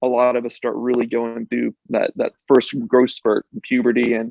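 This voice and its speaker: A man speaks in an unremarkable speaking voice at medium pitch. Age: 30s. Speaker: medical device consultant and patient. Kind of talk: podcast interview. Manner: casual, with frequent fillers.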